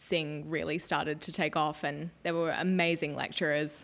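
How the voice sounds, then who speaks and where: A woman with an Australian accent, very deep and low in pitch, monotone and flat, at a moderate pace. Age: 20s. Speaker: cook and food stylist. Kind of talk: casual interview chat.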